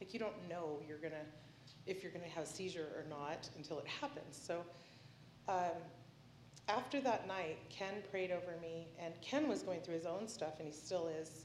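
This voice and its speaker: At a moderate pace, a woman talks in a fairly low pitch over noticeable background noise. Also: ordinary pitch variation. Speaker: testifier with epilepsy. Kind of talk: testimony.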